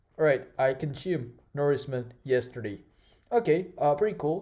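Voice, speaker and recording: Speaking with an Indonesian accent, a man has a medium pitch and ordinary pitch variation. His tone is dark and mellow. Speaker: tech tutorial creator. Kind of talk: tutorial. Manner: halting, many fillers.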